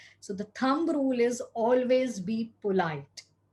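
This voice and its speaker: A woman speaks with a Gujarati accent and a dark, mellow tone. Her voice is somewhat breathy, with ordinary pitch variation. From India, Gujarat. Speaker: cyber safety speaker. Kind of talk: talk. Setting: video recording.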